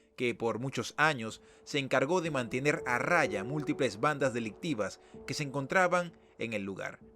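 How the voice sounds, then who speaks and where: Music plays in the background as a man speaks with a medium pitch. His intonation is lively and his pace moderate. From Venezuela, Caracas. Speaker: YouTube documentary host. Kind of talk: documentary narration.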